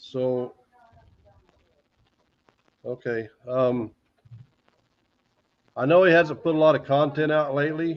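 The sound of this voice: A man's fairly high voice, slow and fairly even in intonation, with long, frequent pauses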